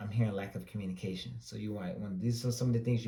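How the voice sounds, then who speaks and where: A man with a fairly low pitch and a dark, mellow tone speaks with an American accent. His voice is somewhat breathy, and audible room echo surrounds it. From US South, Greenville, North Carolina. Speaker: tarot reader. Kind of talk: tarot reading. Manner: casual, conversational.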